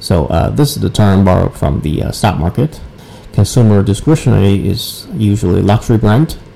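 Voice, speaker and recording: A man's fairly low voice with lively intonation at a moderate pace, music in the background. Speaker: marketing director and entrepreneur. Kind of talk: casual interview.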